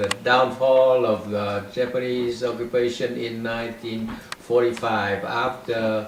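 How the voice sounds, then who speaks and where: A man speaks very slowly at a medium pitch, in a flat, monotone delivery. Noticeable background noise and audible room echo are present. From North Vietnam. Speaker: professor, author. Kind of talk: interview. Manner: halting, many fillers.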